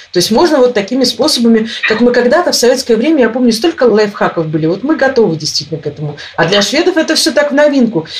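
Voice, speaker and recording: A woman talks very fast at a high pitch, with very wide pitch swings and hardly any pauses. Noticeable background noise runs underneath. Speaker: emigrant interviewee. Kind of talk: interview. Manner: animated.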